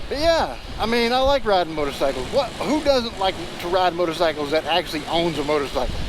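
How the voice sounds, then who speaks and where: Noticeable background noise sits behind a man talking at a very fast pace. His pitch is high, with very wide swings. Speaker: motorcycle vlogger. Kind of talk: casual vlog monologue. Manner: fast, words jumble together; hesitant, repeats words.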